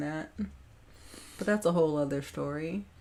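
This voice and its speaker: A woman with an American accent talks with ordinary pitch variation over noticeable background noise. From Minnesota, US. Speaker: radio show co-host. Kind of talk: casual chat.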